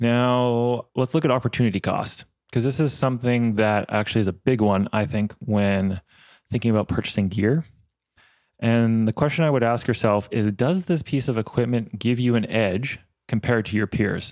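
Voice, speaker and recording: The recording is very clean, with a silent background. A man speaks at very even loudness with ordinary pitch variation. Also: medium pitch for a man, moderate pace. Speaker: cinematographer and podcast host. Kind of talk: solo podcast monologue. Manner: casual, off the cuff.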